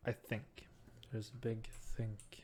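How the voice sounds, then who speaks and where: A man with a Norwegian accent, somewhat breathy, at a medium pitch and fairly slow pace. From Norway. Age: 20s. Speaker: gaming YouTuber. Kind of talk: let's play gaming commentary. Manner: halting, searching for words.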